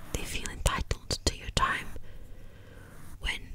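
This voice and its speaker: A woman whispers in a gentle tone against noticeable background noise. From Wales. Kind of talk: ASMR whispered ramble. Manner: whispered, soft, gentle.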